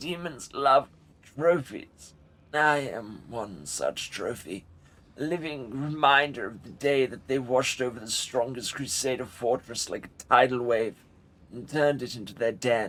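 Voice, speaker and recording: Putting on a character voice, a man talks at a moderate pace with medium pitch, sounding breathy and nasal. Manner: ominous.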